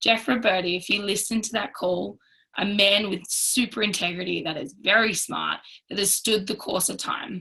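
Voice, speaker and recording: A woman speaks at a medium pitch with vocal fry. Her tone is bright and sharp, and her intonation is fairly even. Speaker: network marketing team leader. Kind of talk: training talk on a group call. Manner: fast.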